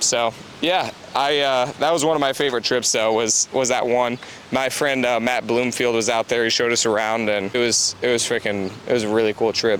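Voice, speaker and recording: Amid noticeable background noise, a man at medium pitch talks at a fairly quick pace with very even loudness and fairly even intonation. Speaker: real estate investor and podcast host. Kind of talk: casual chat. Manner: fast.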